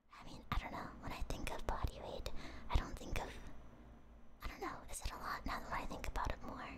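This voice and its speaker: Whispering at a fairly quick pace with long, frequent pauses, the speaker is heard over noticeable background noise. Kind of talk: ASMR trivia stream, casual talk to viewers. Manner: whispered.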